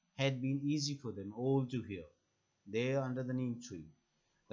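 Fairly even intonation in an unforced reading voice, quiet in the background

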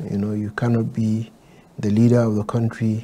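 A man talks at a moderate pace with a fairly low pitch and fairly even intonation. It is an unremarkable speaking voice. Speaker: candidate. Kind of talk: interview answer. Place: studio.

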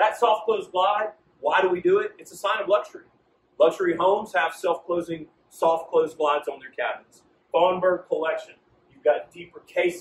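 Audible room echo around speech at a moderate pace. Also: man. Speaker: sales trainer. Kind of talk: training presentation. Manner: confident; animated. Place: shop.

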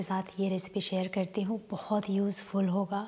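A woman speaks slowly, at a fairly unhurried pace, and somewhat breathy. Her intonation stays monotone and flat. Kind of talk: cooking tutorial. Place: kitchen.

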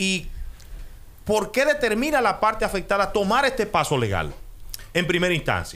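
Here a man talks at a moderate pace with a high pitch. His pitch swings very widely. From Dominican Republic. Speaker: radio host. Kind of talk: radio interview. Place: studio. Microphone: studio mic.

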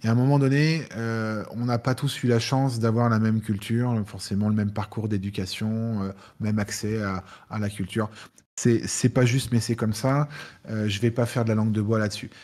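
Fairly even intonation, moderate pace and medium pitch in a normal speaking voice from a man. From France, Lyon; France. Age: 40s. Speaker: cybersecurity expert, penetration tester. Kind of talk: live Q&A talk. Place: home room.

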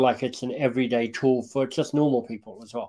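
Against a quiet background, a man talks at a fairly quick pace with a medium pitch and flat, monotone intonation. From Australia. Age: 50s. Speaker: leadership coach and author. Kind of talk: interview. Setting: webinar video call. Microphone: video call.

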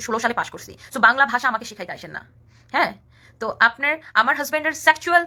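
An animated woman's voice over music in the background. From rural Bangladesh. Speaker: social media personality. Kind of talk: live stream rant.

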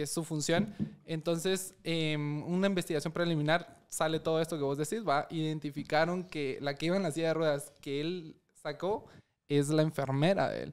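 A man's unremarkable speaking voice, fairly high in pitch for a man, with fairly even intonation and a moderate pace against a quiet background. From Guatemala, Chimaltenango; Guatemala. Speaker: lawyer. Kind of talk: casual chat. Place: studio. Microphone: studio mic.

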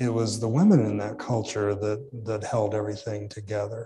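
A man's somewhat breathy voice with a dark, mellow tone, fairly even intonation and an American accent. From southeastern Illinois. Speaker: professor and author; professor. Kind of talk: interview. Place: hall.

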